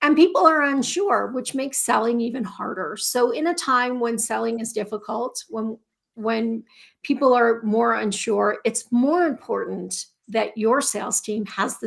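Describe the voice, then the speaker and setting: A woman with a squeaky, fairly high voice speaks at a fairly slow pace with ordinary pitch variation, recorded very cleanly against a silent background. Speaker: podcast host. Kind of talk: live podcast intro. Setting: LinkedIn Live stream.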